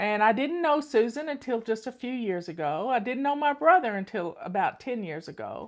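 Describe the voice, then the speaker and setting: With hardly any pauses, a woman speaks at a moderate pace in a fairly high pitch that swings very widely. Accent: North Carolina. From US South. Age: 60s. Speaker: home organizing coach and channel host. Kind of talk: casual personal talk to online audience.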